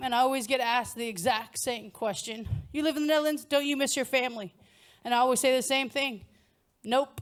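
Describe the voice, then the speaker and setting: A woman speaks loudly in an American accent at a fairly quick pace. Her pitch is high and her intonation fairly even. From United States. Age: middle-aged. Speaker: stand-up comedian. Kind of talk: stand-up comedy set. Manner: loud, blunt.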